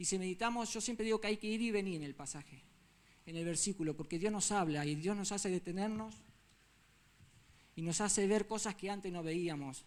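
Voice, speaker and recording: A man speaks at a fairly quick pace in a high pitch. His pitch variation is ordinary. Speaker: lay preacher. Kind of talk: sermon. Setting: church. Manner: fast.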